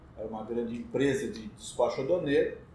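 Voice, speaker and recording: In a room with audible echo, a man speaks at an even, moderate speed. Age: 60s. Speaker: customs broker. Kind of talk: casual chat.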